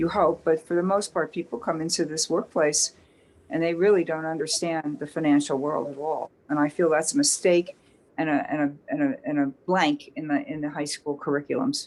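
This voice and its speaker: Ordinary pitch variation in a woman's very deep, low voice. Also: moderate pace. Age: 70s. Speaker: workshop attendee. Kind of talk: audience comment in online workshop. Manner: halting.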